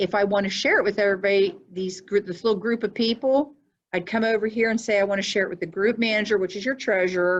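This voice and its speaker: This woman has a normal speaking voice with ordinary pitch variation. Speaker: payroll software trainer; school district treasurer. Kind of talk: training tutorial. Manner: casual.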